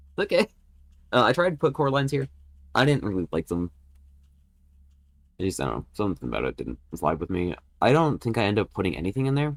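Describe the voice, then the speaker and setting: A man talks very fast in a fairly low voice with vocal fry and very wide pitch swings. Long, frequent pauses appear, and the sound is dry and close with no echo. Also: very clean recording, silent background. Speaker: gaming YouTuber. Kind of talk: gameplay commentary. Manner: casual, rambling with fillers.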